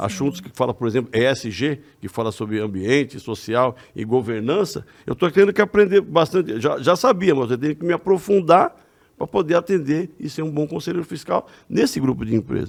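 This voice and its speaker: With vocal fry and very wide pitch swings, a man with a fairly high pitch speaks at a moderate pace. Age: 60s. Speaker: religious lecturer and retired accountant. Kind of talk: casual chat. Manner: halting.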